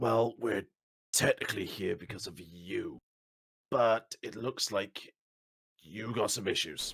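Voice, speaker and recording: In a put-on character voice, a man speaks at a fairly slow pace with a raspy, medium-pitched sound and long, frequent pauses. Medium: actual play.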